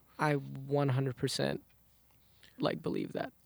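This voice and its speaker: The recording is very clean, with a silent background and a dry, close sound with no echo, as a man speaks at a fairly slow pace. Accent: American. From Southside Jamaica, Queens, New York. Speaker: R&B singer. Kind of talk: interview. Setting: studio.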